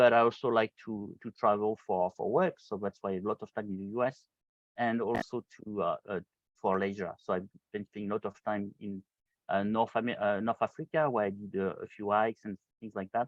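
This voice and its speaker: Speaking in a French accent, a man has a fairly low voice. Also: fairly even intonation, fairly quick pace. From France. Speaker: solution engineer. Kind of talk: hands-on tutorial webinar. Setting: video call. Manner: halting, many fillers.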